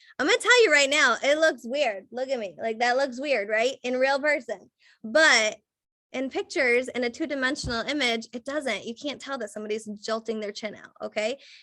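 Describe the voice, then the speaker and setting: Animated and high-pitched, a woman speaks with a bright, sharp tone and big swings in loudness. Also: ordinary pitch variation. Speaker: photographer. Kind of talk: webinar presentation. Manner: fast.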